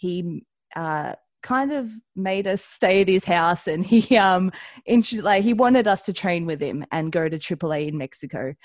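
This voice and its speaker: In a very clean recording with a silent background and a dry, close sound with no echo, a woman at medium pitch speaks at a fairly slow pace with lively intonation. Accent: Australian. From Australia. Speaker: professional wrestler. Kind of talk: interview.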